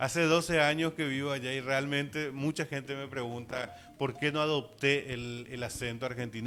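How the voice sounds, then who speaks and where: Noticeable background noise sits under the speech. The pace is moderate and the intonation fairly even. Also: man. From Paraguay. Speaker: visual artist. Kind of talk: interview.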